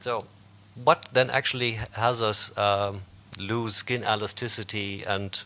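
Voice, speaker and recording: Speaking at a fairly slow pace with long, frequent pauses, a man keeps a fairly low pitch and fairly even intonation. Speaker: medical scientist presenting to doctors. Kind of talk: lecture. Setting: stage with audience. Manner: halting. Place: hall.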